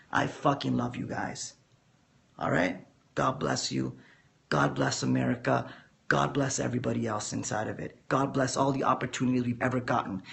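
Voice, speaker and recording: A man puts on a character voice, raspy and hoarse, fairly low in pitch with very wide pitch swings. He goes at a fairly quick pace, broken by long, frequent pauses. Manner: passionate, emphatic.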